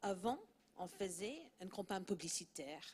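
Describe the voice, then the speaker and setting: Speaking at a fairly slow pace, a woman with a slight non-native accent uses a medium pitch and ordinary pitch variation. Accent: slight foreign accent in French. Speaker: PR and communications director. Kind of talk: panel discussion.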